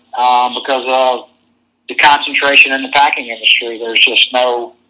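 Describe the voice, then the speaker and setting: With an American accent, a man speaks at a moderate pace in a bright, sharp tone. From Virginia, US. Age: 60s. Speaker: cattle producer and association president. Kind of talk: interview. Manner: hesitant with filler words.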